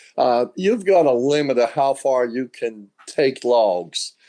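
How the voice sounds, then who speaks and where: With a Southern US accent, a man talks at a medium pitch in a dark, mellow tone. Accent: Southern US (Georgia). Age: 70s. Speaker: sawmill owner. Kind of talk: interview.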